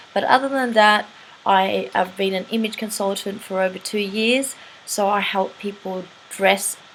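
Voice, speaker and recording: Over noticeable background noise, a woman talks at a fairly slow pace. Her medium-pitched voice has fairly even intonation. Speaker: teeth whitening practitioner and image consultant. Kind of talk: tutorial. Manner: casual and chatty.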